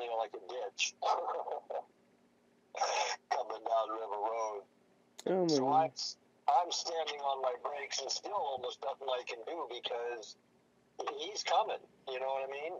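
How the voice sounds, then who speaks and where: Over light background noise, a man speaks at a moderate pace with long, frequent pauses. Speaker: caller. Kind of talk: casual storytelling on a phone call. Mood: animated, recounting a near miss. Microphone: phone line.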